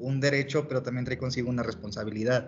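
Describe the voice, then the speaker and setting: This man talks in a monotone, flat intonation. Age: 20s. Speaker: engineering student, co-host. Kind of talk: casual chat.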